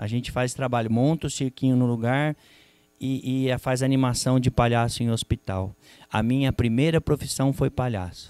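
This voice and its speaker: The voice moves at a moderate pace with fairly even intonation, and the sound is dry with no echo. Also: man. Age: 50s. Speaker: psychologist and panel moderator; panel moderator. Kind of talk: moderated panel discussion at a seminar. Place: hall. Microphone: handheld.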